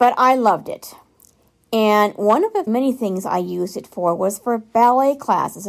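A woman's unremarkable speaking voice, fairly high in pitch with ordinary pitch variation and an American accent, on a very clean recording with a silent background. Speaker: listener contributor. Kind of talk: recorded voice message.

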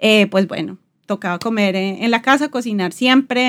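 A woman with a normal speaking voice talks at a moderate pace and medium pitch, her intonation fairly even, on a very clean recording with a silent background. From Colombia, Bogotá. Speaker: podcast host, designer. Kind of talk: casual chat.

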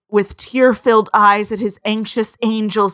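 What is heard is plain reading aloud.

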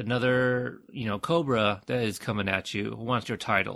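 At a moderate pace and medium pitch, a man with an American accent talks with vocal fry. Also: very clean recording, silent background. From United States. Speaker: podcaster. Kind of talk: casual chat. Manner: halting, repeats words.

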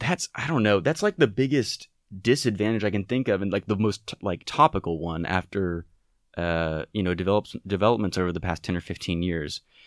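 Using a normal speaking voice, a man talks at a fairly quick pace and a fairly low pitch with lively intonation, in a dry, close sound with no echo. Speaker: political science student. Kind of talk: casual explanatory chat.

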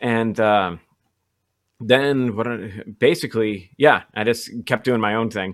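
A man's medium-pitched voice at a very slow pace. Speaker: guitarist and podcast host. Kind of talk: casual chat. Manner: animated, talks with hands.

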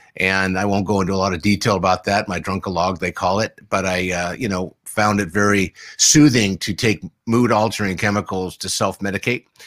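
A man with an American accent and an unremarkable speaking voice talks at a fairly quick pace, fairly low in pitch and with fairly even intonation. The recording is very clean, with a silent background and a dry, close sound with no echo. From US West Coast, San Diego. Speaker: addiction recovery specialist. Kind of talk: interview. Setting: live stream.

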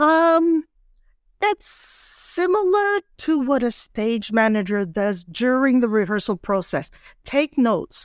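A woman's high voice with very wide pitch swings at a very slow pace, in a very clean recording with a silent background and a dry, close sound with no echo. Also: very even loudness. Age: 60s. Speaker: actress and playwright. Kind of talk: casual interview.

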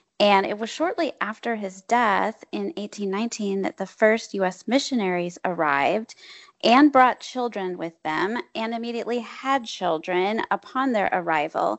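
An ordinary speaking voice from a woman with an American accent, medium in pitch, lively in intonation, at a moderate pace with hardly any pauses, dry and close with no echo over a quiet background. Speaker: history professor, author. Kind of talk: interview.

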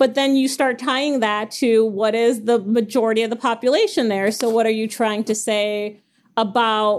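A woman with fairly high pitch and an unremarkable speaking voice talks at a moderate pace. Her intonation is fairly even, on a very clean recording with a silent background. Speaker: podcast host. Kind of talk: casual discussion podcast.

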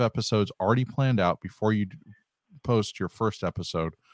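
In a normal speaking voice, a man talks at medium pitch and a moderate pace with ordinary pitch variation, recorded very cleanly against a silent background with a dry, close sound and no echo. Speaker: recovery podcaster and clinical supervisor. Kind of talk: casual chat. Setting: live stream.

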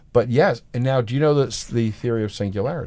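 In a very clean recording with a silent background, a man speaks in a dark, mellow tone. His pace is fairly quick and his intonation lively. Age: 60s. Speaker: podcast host and art educator. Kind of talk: casual chat.

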